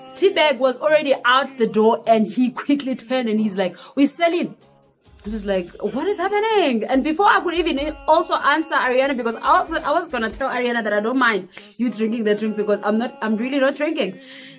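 Faint music plays in the background. A woman talks at a fairly quick pace in a high voice. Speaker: vlogger. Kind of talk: casual storytime vlog. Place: home room. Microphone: phone near.

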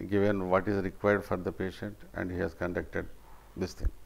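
The man has a fairly low pitch and speaks with a Telugu accent. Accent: Indian English (Telugu region). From India (Andhra Pradesh). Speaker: retired government officer, patient. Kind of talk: patient testimonial. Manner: halting, with frequent fillers. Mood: grateful, appreciative. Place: home room. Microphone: lapel.

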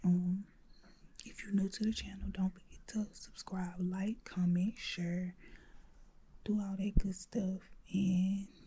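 A woman speaks in a somewhat breathy voice with a dark, mellow tone. Light background noise can be heard. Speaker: YouTuber; vlogger. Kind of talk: vlog. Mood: playful, scheming. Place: home room. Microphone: phone near.

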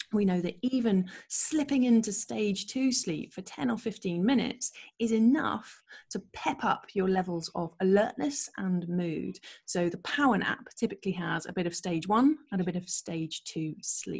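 A woman talks at a fairly slow pace in a somewhat breathy voice with lively intonation. The background is quiet. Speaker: presenter. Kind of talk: lecture. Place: home room. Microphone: webcam.

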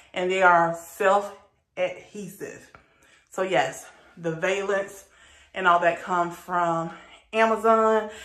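A woman's voice comes through with audible room echo over a quiet background. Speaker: home decor vlogger. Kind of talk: casual vlog chat. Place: bathroom. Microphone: phone near.

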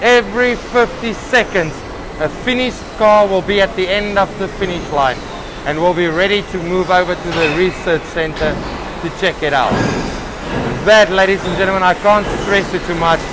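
A man's high-pitched voice at a moderate pace, with ordinary pitch variation and clear background noise.

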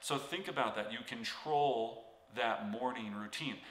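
Audible room echo surrounds a man as he talks. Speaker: real estate coach. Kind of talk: motivational tutorial talk. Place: home room.

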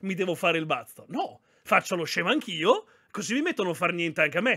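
Recorded very cleanly against a silent background, a man speaks with a high pitch and lively intonation. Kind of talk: casual chat. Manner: animated, chatty, profane.

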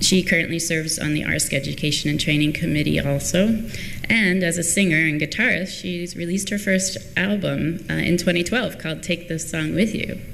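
Over light background noise, a woman with a plain, everyday voice talks at a moderate pace in a fairly low pitch with ordinary pitch variation. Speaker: conference session moderator. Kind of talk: speaker introduction. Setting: stage with audience. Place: hall. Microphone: podium.

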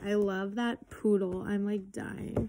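Noticeable background noise sits behind a woman speaking. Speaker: haul vlogger. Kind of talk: casual vlog chat. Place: home room. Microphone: phone near.

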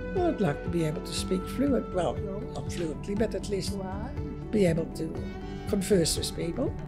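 Clear music sounds in the background while a woman speaks at a moderate pace. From Indonesia. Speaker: retiree learning Chinese. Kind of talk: interview answer. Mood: warm, reflective, a little wistful. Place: hall. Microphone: lapel.

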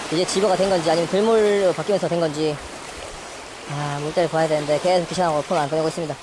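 A man's fairly high voice at a very fast pace with fairly even intonation, a dry sound with no echo, and noticeable background noise. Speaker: fishing youtuber. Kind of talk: outdoor fishing vlog with tutorial commentary. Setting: outdoors on a breakwater at night. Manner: casual, thinking aloud. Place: waterside. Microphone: phone near.

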